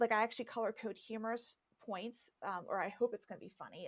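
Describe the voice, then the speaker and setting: A woman with a fairly high pitch speaks at a fairly quick pace in an ordinary speaking voice. The sound is dry and close, with no echo. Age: 50s. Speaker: YouTuber and social media consultant. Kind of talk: podcast interview. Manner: fast, filler-heavy conversational.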